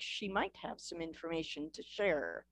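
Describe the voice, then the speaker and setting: The speech moves at a fairly slow pace. The sound is dry and close, with no echo. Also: woman. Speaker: virtual book festival host and mystery game moderator. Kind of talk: event hosting. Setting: video call. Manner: animated.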